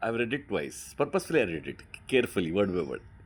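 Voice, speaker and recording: A man talks with an Indian accent. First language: Hindi. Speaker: book reader and teacher. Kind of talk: reading aloud with commentary. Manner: animated; halting.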